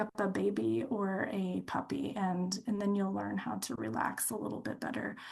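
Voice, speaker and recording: The woman's voice sounds somewhat breathy. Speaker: dental health speaker. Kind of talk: webinar presentation. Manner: fast; animated.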